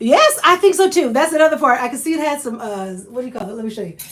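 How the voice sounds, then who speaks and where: An animated woman with a Southern US accent and lively intonation. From Oklahoma. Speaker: lifestyle vlogger. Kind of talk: live stream chat.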